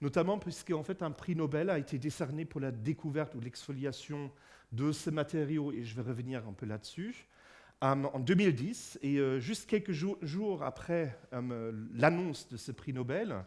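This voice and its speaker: A man with a German accent at a fairly slow pace, fairly high-pitched with lively intonation, on a very clean recording with a silent background. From Germany. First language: German (speaking French). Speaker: physicist and lecturer. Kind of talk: public lecture. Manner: halting, many fillers and repetitions.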